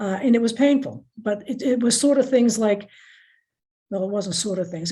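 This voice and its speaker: A woman's somewhat breathy voice, dark and mellow in tone, at a fairly quick pace. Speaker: school committee member and candidate. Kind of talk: candidate forum answers. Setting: video call. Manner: fast; halting, with many restarts.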